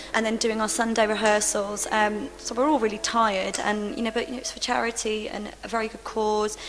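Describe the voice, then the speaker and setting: Over noticeable background noise, a woman speaks fast-ish, at a fairly quick pace with hardly any pauses. Her pitch is fairly high, her intonation monotone and flat, and her loudness swings widely. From Liverpool, England. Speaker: musical theatre actress. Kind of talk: interview.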